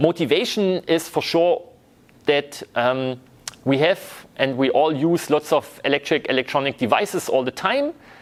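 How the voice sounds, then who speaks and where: A man with a plain, everyday voice keeps a moderate pace and lively intonation. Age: 30s. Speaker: university lecturer. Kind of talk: lecture.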